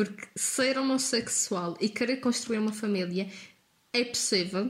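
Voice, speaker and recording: A woman speaks at a fairly slow pace with fairly even intonation and a fairly high pitch. Noticeable background noise runs behind her. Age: 20s. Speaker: university student. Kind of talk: casual discussion.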